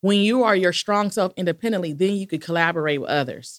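A woman with an American accent speaks in an ordinary speaking voice at a medium pitch with ordinary pitch variation, the sound dry and close with no echo on a very clean recording with a silent background. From Los Angeles, California. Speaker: education consultant, former principal. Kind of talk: interview conversation.

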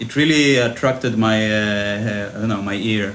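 Audible room echo hangs around the voice. Its delivery is moderate in pace, with fairly even intonation. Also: man. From Israel. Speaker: electronic music producer. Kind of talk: interview.

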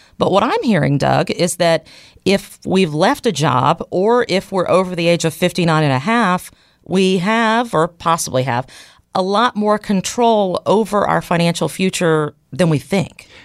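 A woman with a plain, everyday voice and a medium pitch speaks with lively intonation on a very clean recording with a silent background. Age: 40s. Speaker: podcast co-host. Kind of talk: casual chat.

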